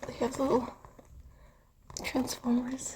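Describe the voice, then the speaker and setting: The voice is whispering. Noticeable background noise sits behind it. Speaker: student vlogger and artist. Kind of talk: casual vlog chat. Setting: indoors, student room. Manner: soft-spoken; quiet.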